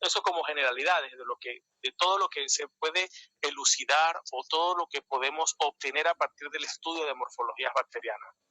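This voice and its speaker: In a dry, close recording with no echo, a man talks with hardly any pauses. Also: fairly quick pace. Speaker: microbiology lecturer. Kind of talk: lecture. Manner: fast.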